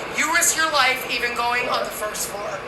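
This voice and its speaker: Recorded with audible room echo and noticeable background noise, a woman talks with a high pitch. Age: 60s. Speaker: vlogger. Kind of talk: casual monologue vlog.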